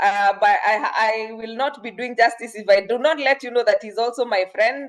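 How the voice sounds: A woman speaks at a moderate pace, fairly high in pitch, with fairly even intonation.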